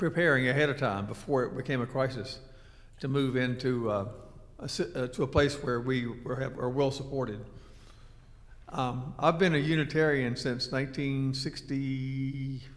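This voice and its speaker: The room echo is easy to hear. A man speaks with fairly even intonation. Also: medium pitch for a man, moderate pace. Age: 70s. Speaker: retired church member sharing experience. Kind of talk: personal talk to a small group. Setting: meeting room with microphone.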